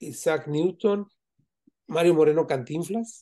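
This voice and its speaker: This man talks at a fairly slow pace in a dark, mellow tone. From Mexico, Zamora, Michoacán. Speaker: Freemason. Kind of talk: interview. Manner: halting.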